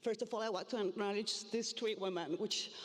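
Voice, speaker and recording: With a Spanish accent, a woman speaks in fairly even intonation over noticeable background noise. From Argentina, Buenos Aires. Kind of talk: conference presentation. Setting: stage with audience. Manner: halting, many fillers.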